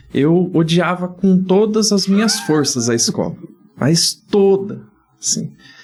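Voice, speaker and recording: Music plays in the background. The speech is very slow, with very even loudness. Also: man, high pitch for a man, ordinary pitch variation. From Brazil, Dourados, Mato Grosso do Sul. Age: 40s. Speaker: geographer and teacher. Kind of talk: podcast interview.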